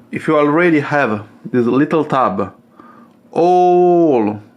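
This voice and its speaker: A man with an Italian accent, very slow pace and lively intonation. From Italy. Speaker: coffee machine hobbyist YouTuber. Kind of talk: tutorial. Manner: hesitant, many fillers.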